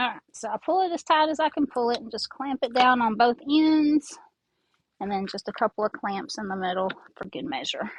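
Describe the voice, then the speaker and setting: Lively intonation at a fairly quick pace, with a dry, close sound and no echo. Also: woman, high pitch for a woman. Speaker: craft tutorial creator. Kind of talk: tutorial. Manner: casual, conversational.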